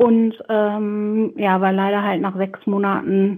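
A woman has an ordinary speaking voice. Her pitch sits in the middle and her intonation stays fairly even. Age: 20s. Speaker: pediatric nurse. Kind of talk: casual interview.

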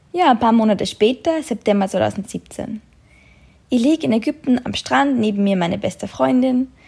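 Her fairly high voice has a dark, mellow tone and is somewhat breathy. The woman moves at a moderate pace with very wide pitch swings. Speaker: podcaster and travel blogger. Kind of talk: personal storytelling monologue.

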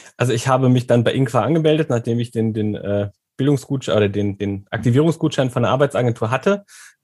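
A man talks at a very fast pace, somewhat breathy, with medium pitch and ordinary pitch variation. The recording is very clean, with a silent background. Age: 30s. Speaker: former coaching client, teacher. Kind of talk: interview. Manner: hesitant, many filler sounds.

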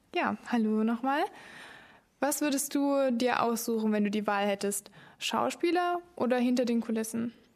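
A normal speaking voice at a moderate pace, with ordinary pitch variation and very even loudness, on a very clean recording with a silent background. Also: woman, fairly high pitch for a woman. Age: young. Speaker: podcast host, cultural volunteer. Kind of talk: casual podcast chat.

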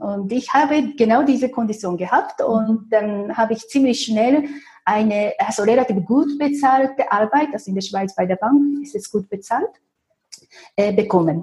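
A woman with a Japanese accent talks at a moderate pace, somewhat breathy, with a dark, mellow tone and lively intonation. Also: fairly high pitch for a woman. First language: Japanese (speaking German). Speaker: feng shui consultant. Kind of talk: interview. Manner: halting, many fillers.

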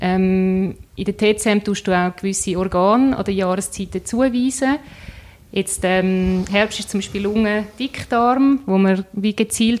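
This woman has an unremarkable speaking voice. Her pitch is medium, with ordinary variation. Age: 30s. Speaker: entrepreneur, nutrition coach. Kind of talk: interview.

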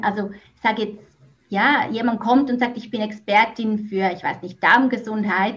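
A woman speaks with a Swiss German accent. Noticeable background noise is present. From Switzerland. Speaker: business coach, former teacher. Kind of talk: podcast interview.

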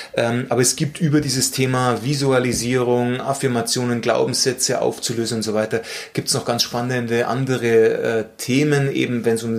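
Over noticeable background noise, a man talks at a moderate pace with a medium pitch and fairly even intonation. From Bavaria, Munich. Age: 40s. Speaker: mental coach. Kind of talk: interview conversation. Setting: office meeting room. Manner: calm, measured.

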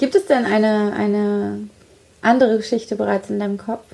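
Noticeable background noise runs beneath a woman talking at a moderate speed. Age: 30s. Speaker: author and podcast host. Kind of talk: casual chat. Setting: hotel room.

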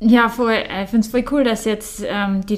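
A woman speaks at a moderate pace with a Bavarian accent. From Bavaria, Germany. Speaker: professional mountain biker. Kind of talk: casual interview.

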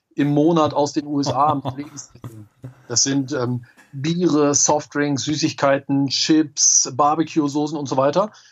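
At a very slow pace, a man speaks with fairly high pitch. His intonation stays monotone and flat. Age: 30s. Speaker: entrepreneur and online marketing expert. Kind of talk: interview.

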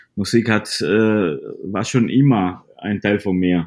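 A man speaks at a very slow pace, with a Spanish accent. His pitch is fairly low. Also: very clean recording, silent background. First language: Spanish (speaking German). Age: 30s. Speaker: salsa DJ. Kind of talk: interview. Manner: halting, repeating words.

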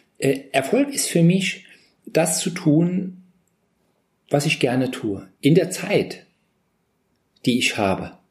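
A man's voice with vocal fry swings very widely in pitch. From Saarland, Germany. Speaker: motivational speaker and coach. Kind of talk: interview. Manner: animated.

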